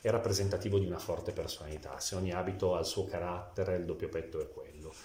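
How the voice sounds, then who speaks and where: With audible echo from the room and noticeable background noise, a man speaks fairly quickly. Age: 40s. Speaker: tailor. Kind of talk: interview.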